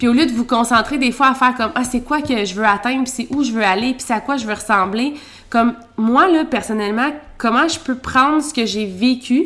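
A woman's high voice in a Quebec accent, at a moderate pace with ordinary pitch variation. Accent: Québécois French. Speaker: podcast co-host, entrepreneur. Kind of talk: casual chat.

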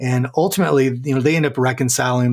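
Medium in pitch, a man talks in an unremarkable speaking voice with ordinary pitch variation. The recording is very clean, with a silent background. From US West (Southern California). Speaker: author and leadership coach. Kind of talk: interview.

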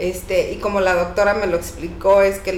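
A woman at medium pitch speaks at a fairly quick pace with fairly even intonation. Noticeable background noise and audible room echo are present. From Mexico, Oaxaca. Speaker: cleaning business owner. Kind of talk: casual interview chat.

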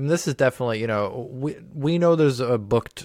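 A man with a plain, everyday voice on a very clean recording against a silent background. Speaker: comedian. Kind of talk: casual chat. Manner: casual, profane.

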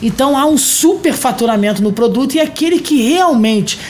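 A man's lively intonation comes at a moderate pace, with audible room echo and noticeable background noise around him. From Rio de Janeiro state, Brazil. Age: 40s. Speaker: mayor. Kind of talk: interview. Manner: formal.

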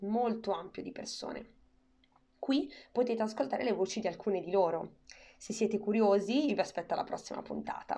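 A woman with a fairly high pitch and a dark, mellow tone speaks at a fairly quick pace with ordinary pitch variation and long, frequent pauses. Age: 20s. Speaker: podcast host. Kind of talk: scripted narration.

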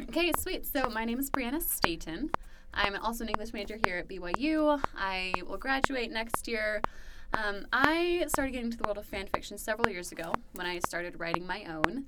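A woman at a moderate pace, her pitch swinging very widely, over noticeable background noise. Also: fairly high pitch for a woman. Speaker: podcast co-host. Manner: polished customer service tone.

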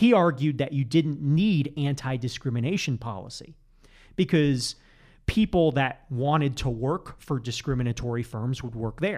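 The recording is very clean, with a silent background. It has a plain, everyday voice at a moderate pace with ordinary pitch variation. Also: man, fairly high pitch for a man. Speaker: economics professor. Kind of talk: casual interview chat. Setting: studio.

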